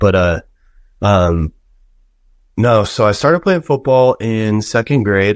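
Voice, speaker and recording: A man with an American accent has an ordinary speaking voice, fairly low in pitch with lively intonation. The recording is very clean and dry, close with no echo and a silent background. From Colorado. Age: 20s. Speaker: college football offensive lineman. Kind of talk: casual chat.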